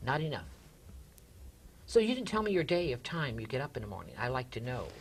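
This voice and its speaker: Talking at a very fast pace, a man with a fairly high voice shows very wide pitch swings and vocal fry. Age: 60s. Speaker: talk show host. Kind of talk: interview. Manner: animated.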